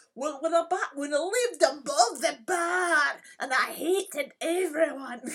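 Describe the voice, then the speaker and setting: A female-sounding, put-on character voice speaks at a high pitch. The pace is moderate. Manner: bitter, complaining.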